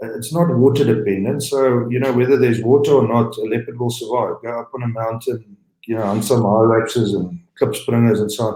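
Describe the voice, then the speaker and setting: A man's dark, mellow, somewhat breathy voice with fairly even intonation. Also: medium pitch for a man, fairly quick pace. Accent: South African. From South Africa. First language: Afrikaans. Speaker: game lodge owner, entrepreneur. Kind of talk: interview. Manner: halting, many fillers and repeats.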